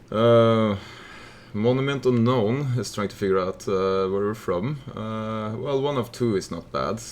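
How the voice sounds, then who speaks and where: With noticeable background noise, the speaker talks at a fairly slow pace with ordinary pitch variation. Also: man. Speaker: game streamer. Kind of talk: casual chat. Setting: live stream.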